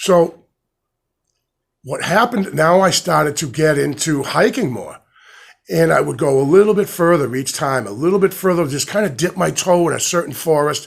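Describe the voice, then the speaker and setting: There is vocal fry in this man's voice as he speaks at a moderate pace. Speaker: hiking vlogger. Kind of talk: casual monologue. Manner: halting.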